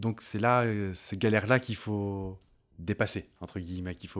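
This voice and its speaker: Recorded very cleanly against a silent background, a man speaks with fairly low pitch and ordinary pitch variation. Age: 30s. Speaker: content creator and communications freelancer. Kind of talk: interview. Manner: hesitant, many fillers.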